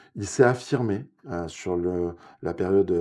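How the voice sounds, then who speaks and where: In a dark, mellow tone with ordinary pitch variation, a man speaks with a southwestern French accent. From southwest France, Ariège (Pyrenees). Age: 50s. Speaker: local election candidate. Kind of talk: political interview. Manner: hesitant, many fillers.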